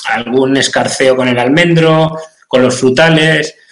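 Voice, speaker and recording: A man speaks with fairly even intonation. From Spain, Cuenca (Castilla-La Mancha). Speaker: nursery sales representative, agronomy. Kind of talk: interview. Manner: halting, repeats words.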